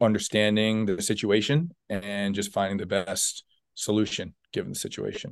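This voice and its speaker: Over a quiet background, a man with an American accent talks at a moderate pace. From Long Island, New York. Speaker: college lacrosse head coach. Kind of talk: interview.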